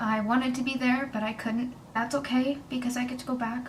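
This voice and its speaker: A woman with a high pitch speaks in a monotone, flat intonation, with noticeable background noise and audible room echo. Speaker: vlogger. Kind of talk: personal testimony. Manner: emotional, hesitant.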